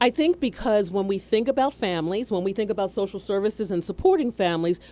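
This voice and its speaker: With a dark, mellow tone and lively intonation, a woman speaks at a medium pitch. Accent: American. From Philadelphia area, Pennsylvania. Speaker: nonprofit executive director. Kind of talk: radio interview.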